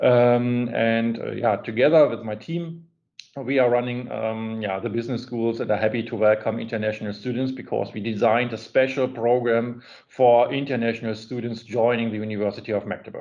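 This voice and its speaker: A man with a German accent talks at a fairly quick pace and medium pitch, keeping his intonation fairly even. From Germany. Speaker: business school administrator. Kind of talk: online seminar interview. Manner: halting.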